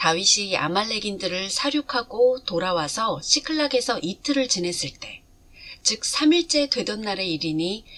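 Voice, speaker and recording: A woman talks at a very slow pace, her pitch swinging very widely. Noticeable background noise runs underneath. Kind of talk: scripture reading.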